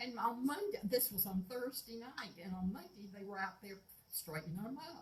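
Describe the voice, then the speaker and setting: Somewhat breathy and at a moderate pace, a woman with an American accent talks at a medium pitch, her loudness swinging widely while her pitch varies in an ordinary way. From US South, Florida Panhandle. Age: 80s+. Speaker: local resident. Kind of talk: public comment. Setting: city commission meeting.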